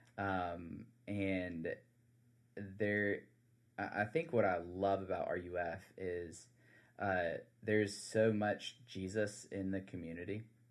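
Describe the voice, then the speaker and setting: Over a very clean, silent background, a man with a South Carolina accent speaks very slowly in a fairly low voice, leaving long, frequent pauses. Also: fairly even intonation. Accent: Southern US (South Carolina). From US South, South Carolina Low Country. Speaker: campus minister. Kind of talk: casual interview. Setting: studio. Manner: hesitant, many fillers.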